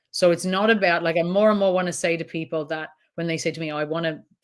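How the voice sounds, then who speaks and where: A woman speaks with an Irish accent and a fairly even intonation. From Ireland. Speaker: trauma counsellor. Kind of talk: interview answer.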